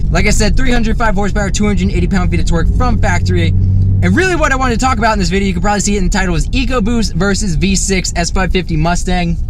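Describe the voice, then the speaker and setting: The speech runs at a very fast pace with hardly any pauses and very even loudness, carrying audible room echo and noticeable background noise. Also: man. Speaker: car enthusiast YouTuber. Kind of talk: casual car review vlog. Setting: in a car. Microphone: audio distorted by exhaust.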